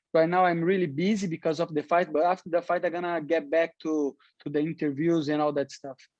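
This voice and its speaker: Talking at a fairly quick pace, a man uses a high pitch and flat, monotone intonation, recorded with a dry, close sound and no echo. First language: Portuguese. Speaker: professional MMA fighter. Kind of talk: interview. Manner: halting, many repetitions.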